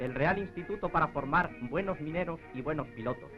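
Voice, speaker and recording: The intonation rises and falls in a lively way. Background music can be heard. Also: man. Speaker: newsreel announcer. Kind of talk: documentary narration. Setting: 1940s film soundtrack. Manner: grandiose, solemn.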